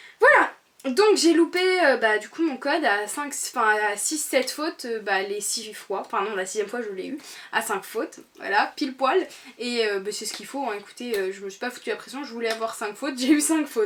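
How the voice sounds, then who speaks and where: This is a plain, everyday voice at a moderate pace. Its intonation is lively, with big swings in loudness. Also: woman, fairly high pitch for a woman. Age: 20s. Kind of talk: casual talk to camera. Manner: upbeat, chatty.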